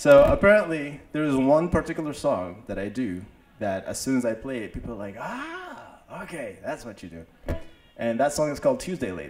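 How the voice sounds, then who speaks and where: A man talks at a fairly quick pace with very wide pitch swings and big swings in loudness. There is light background noise. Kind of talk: stage banter introducing a song. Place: open country. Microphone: handheld.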